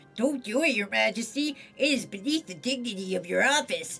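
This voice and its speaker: Using a put-on character voice, a female-sounding voice speaks at a high pitch and a fairly quick pace, with faint music in the background. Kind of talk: formal. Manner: stuffy, formal, admonishing.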